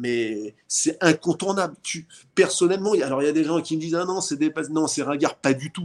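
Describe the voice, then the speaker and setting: Here a man has a normal speaking voice with a fairly high pitch. He moves at a moderate pace with ordinary pitch variation. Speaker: boxing promoter. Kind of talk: casual interview.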